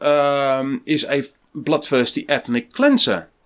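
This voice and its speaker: The recording is very clean, with a silent background. A man speaks very slowly with a Dutch accent. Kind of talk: scripted commentary. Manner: hesitant, with fillers.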